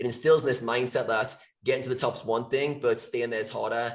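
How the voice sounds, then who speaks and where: A man rattles along at a very fast pace, his medium pitch held in a monotone, flat intonation. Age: 30s. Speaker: podcast co-host. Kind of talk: interview.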